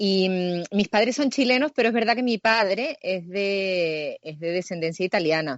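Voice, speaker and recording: With a Canarian accent, a woman speaks at a fairly slow pace with hardly any pauses. Her medium-pitched voice has lively intonation. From Canary Islands, Tenerife. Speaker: actress. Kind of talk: interview.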